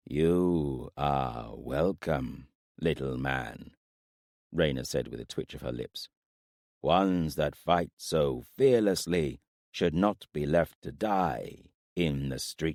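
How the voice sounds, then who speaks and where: Doing a put-on character voice, a man speaks very slowly in a gravelly, very deep, low pitch. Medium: read story. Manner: terse, halting speech in a foreign tongue.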